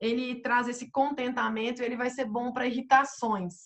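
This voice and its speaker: A woman speaks at a moderate pace with a fairly high pitch. Hers is a plain, everyday voice. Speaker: essential oils consultant presenter. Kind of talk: online presentation. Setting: video call with screen sharing.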